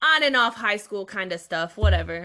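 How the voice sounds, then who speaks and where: A woman with an American accent speaks at medium pitch in a bright, sharp tone. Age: 20s. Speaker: streamer. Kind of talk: casual chat. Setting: video call.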